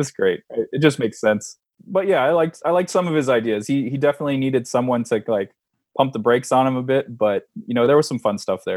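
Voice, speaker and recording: This speaker goes at a very fast pace in a Californian accent with ordinary pitch variation. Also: man. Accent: Californian American English. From San Diego, California. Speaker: former pro wrestler and comic book artist. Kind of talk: casual interview.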